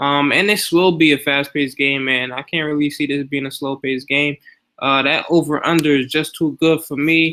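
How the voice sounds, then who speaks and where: A man's fairly high voice at a fairly quick pace, a normal speaking voice. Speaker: fantasy sports YouTuber. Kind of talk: casual screen-share tutorial. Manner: casual, filler-heavy.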